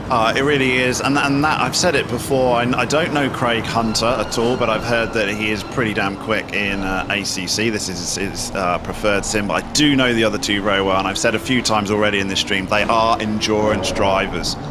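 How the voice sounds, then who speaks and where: Fast-moving with hardly any pauses, a man of fairly low pitch talks at a fairly quick pace with ordinary pitch variation, heard through audible room echo and noticeable background noise. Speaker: sim racing commentator. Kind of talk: live commentary. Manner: animated.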